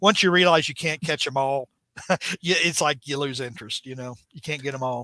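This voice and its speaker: A man's bright, sharp voice, fairly high in pitch, at a very fast pace, with a dry, close sound and no echo. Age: 50s. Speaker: spider-man comics podcast co-host and writer. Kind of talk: casual podcast chat. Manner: halting, many restarts and fillers.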